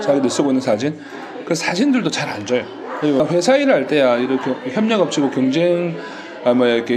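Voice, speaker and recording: A fairly high-pitched man at a very fast pace with very wide pitch swings, amid noticeable background noise. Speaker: manufacturing sales rep and online seller. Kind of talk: casual conversation interview.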